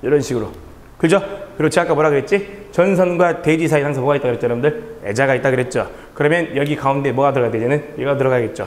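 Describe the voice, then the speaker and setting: A man talks very fast at a fairly high pitch, with ordinary pitch variation. Audible room echo and noticeable background noise fill the recording. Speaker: electrical exam instructor. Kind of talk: lecture. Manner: animated.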